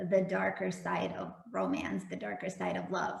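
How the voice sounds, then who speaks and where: Moderate-paced speech with a Russian accent, audible room echo and noticeable background noise. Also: woman. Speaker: romance novelist. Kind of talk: casual interview.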